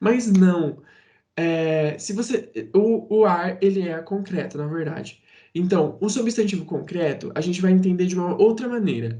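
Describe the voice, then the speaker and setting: A man with a high, dark and mellow voice speaks at a fairly slow pace with lively intonation, and there is audible room echo. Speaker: teacher. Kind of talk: lecture.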